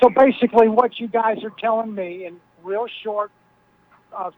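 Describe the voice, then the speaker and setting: With an American accent, a man speaks high-pitched at a moderate pace, the sound dry and close with no echo, with noticeable background noise. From Brooklyn, New York. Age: 70s. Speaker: caller. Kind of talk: call-in talk radio chat. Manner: animated.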